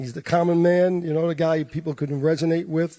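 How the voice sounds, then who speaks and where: This voice has a dark, mellow tone and a New York accent. It moves at a moderate pace with fairly even intonation. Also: man. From New York, the Bronx. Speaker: boxing promoter. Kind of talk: press conference remarks.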